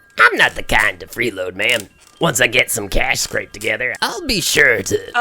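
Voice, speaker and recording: Using a put-on character voice, a man talks at a moderate pace. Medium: audio drama. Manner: folksy, polite.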